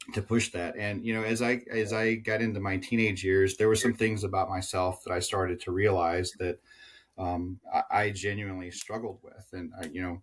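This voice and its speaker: Fairly low-pitched and somewhat breathy, a man speaks at a moderate pace with fairly even intonation. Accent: American. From Southern United States. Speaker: tech sales executive. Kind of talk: interview answer.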